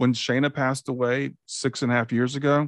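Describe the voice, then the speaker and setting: The speaker is a man. He talks at a moderate pace. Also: dry, close sound with no echo. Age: 60s. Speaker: podcast host and life coach. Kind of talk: interview conversation. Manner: halting.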